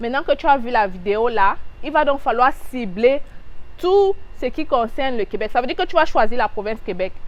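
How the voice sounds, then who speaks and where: A woman speaks at a moderate pace in an animated tone. Her intonation is lively. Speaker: immigration advice youtuber. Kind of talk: casual tutorial vlog.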